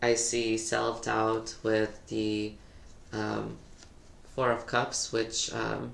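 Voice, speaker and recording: Talking at a very slow pace, a man is heard with audible room echo. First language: not English. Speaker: tarot reader. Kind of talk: tarot reading monologue. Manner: hesitant, many fillers.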